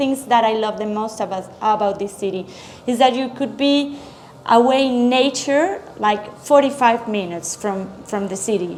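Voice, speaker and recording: Noticeable background noise is present. A woman speaks over it at a moderate pace. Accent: Spanish. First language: Spanish. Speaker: chef. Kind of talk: interview. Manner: halting.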